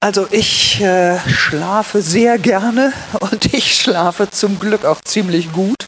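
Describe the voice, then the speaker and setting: A northern German accent at a very slow pace, with ordinary pitch variation and very even loudness. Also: woman, medium pitch for a woman. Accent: German (northern) accent in Swiss setting. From northern Germany, Lüneburg Heath. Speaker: pastor. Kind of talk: interview. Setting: church.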